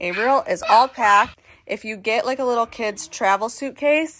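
Noticeable background noise behind a woman's moderate-paced speech. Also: ordinary pitch variation. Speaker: parent vlogger. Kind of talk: casual vlog chat. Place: home room. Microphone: phone near.

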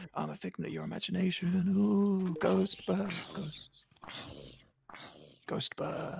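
Whispering in a put-on character voice, the speaker goes at a fairly slow pace with long, frequent pauses. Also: man. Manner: spooky, whispering.

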